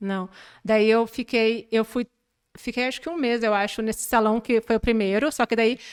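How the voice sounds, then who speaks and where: Delivered at a moderate pace with fairly even intonation, the speech sits on a very clean recording with a silent background. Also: woman, fairly high pitch for a woman. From southern Brazil, Porto Alegre area. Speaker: manicure. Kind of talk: podcast interview.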